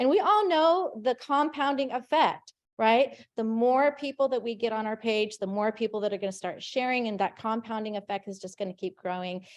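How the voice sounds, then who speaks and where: The speech moves at a moderate pace with hardly any pauses. The tone is animated and the intonation lively. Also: woman, fairly high pitch for a woman. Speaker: meeting organizer. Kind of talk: meeting announcements. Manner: loud.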